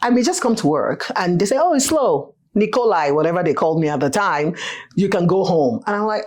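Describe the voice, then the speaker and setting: A woman talks in an animated tone at a fairly quick pace. Her pitch swings very widely. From Nigeria, Lagos. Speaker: financial advisor. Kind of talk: interview conversation. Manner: animated storytelling.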